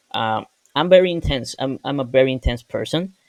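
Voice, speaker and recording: A man with a Spanish accent, medium in pitch with ordinary pitch variation, in a dry, close sound with no echo. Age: 20s. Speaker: software engineer. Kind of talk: personal vlog. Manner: casual, with hesitations.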